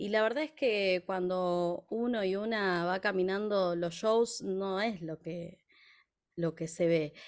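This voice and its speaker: Against a quiet background, a woman speaks very slowly. Her pitch varies in an ordinary way. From Argentina, La Plata. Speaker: folk singer and music teacher. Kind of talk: interview. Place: home room. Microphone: studio mic.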